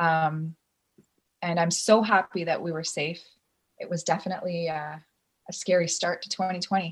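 Somewhat breathy and fairly low in pitch, a woman with a Canadian accent speaks in a flat monotone at a moderate pace, pausing long and often. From rural Ontario, Canada. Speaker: acrobatics teacher and division manager. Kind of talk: interview. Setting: video call.

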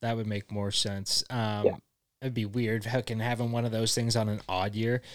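A man's medium-pitched, monotone, flat voice at a moderate pace, on a very clean recording with a silent background. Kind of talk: casual chat.

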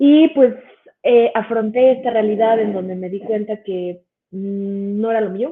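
Pitched fairly high, a woman with an ordinary speaking voice talks at a fairly slow pace with ordinary pitch variation. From Mexico City. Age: 30s. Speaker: biochemist and cannabis educator. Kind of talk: educational livestream presentation. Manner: casual, filler-heavy.

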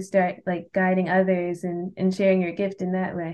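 At a fairly quick pace, a woman talks in a plain, everyday voice at a medium pitch. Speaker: podcast host. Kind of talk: casual interview. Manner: casual, filler-heavy.

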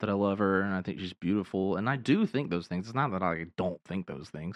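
A man speaks in a fairly low pitch with ordinary pitch variation, a plain, everyday voice. The sound is dry and close with no echo, against a quiet background. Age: 30s. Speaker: podcast host and ministry co-founder. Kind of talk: casual chat about faith and personal testimony. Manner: casual with many fillers.

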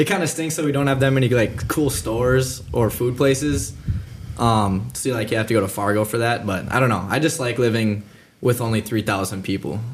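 Speech in an American accent moves at a fairly quick pace. The voice is somewhat breathy, with ordinary pitch variation. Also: man, medium pitch for a man. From Minnesota (Breckenridge). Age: young (19). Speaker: college student. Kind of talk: casual chat.

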